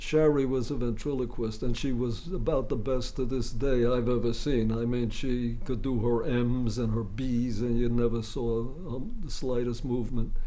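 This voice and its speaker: In a room with audible echo, a man with a medium pitch and a dark, mellow tone talks at a moderate pace with fairly even intonation and hardly any pauses. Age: 80s+. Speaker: comedy writer. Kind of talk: interview.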